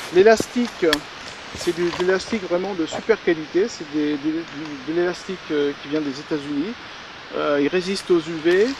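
A man speaks at a fairly slow pace and high pitch, with ordinary pitch variation. The sound is dry with no echo, though background noise is noticeable. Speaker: angler demonstrating fishing gear. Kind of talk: product demonstration. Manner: calm explanatory. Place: waterside.

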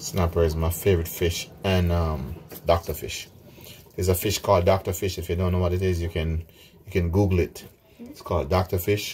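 A man speaks at a moderate pace with a very deep, low pitch. His intonation stays fairly even, and there is light background noise. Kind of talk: tutorial. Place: kitchen. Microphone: phone near.

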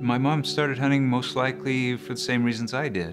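A man with clear music in the background. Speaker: hunter. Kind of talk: interview answer. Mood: calm, reflective. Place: home room.

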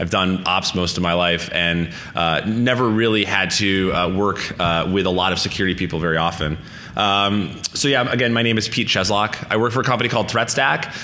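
This man has a very deep, low pitch with ordinary pitch variation. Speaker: conference speaker. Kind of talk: lecture. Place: hall.

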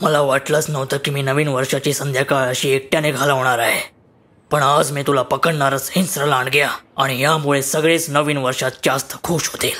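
Here a man speaks in a fairly high pitch with monotone, flat intonation. His pace is moderate. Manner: determined, reassuring.

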